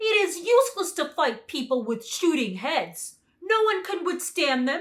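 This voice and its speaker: Someone uses a put-on character voice at extremely high pitch, speaking at a moderate pace. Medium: read story.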